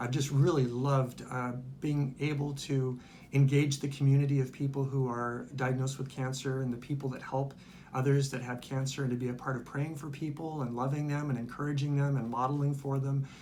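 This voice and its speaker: With audible room echo around him, a man talks at a fairly quick pace in a fairly high pitch with monotone, flat intonation. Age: 60s. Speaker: retired pastor and cancer survivor. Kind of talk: testimony. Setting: infusion center. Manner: hesitant, many fillers.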